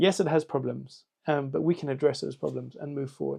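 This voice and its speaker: A man with a South African accent at a fairly quick pace. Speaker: political candidate. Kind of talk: campaign video answering questions. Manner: halting, many fillers.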